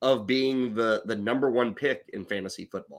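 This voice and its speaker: This man speaks in a bright, sharp tone. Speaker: fantasy sports podcast host. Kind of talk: casual chat. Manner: loud.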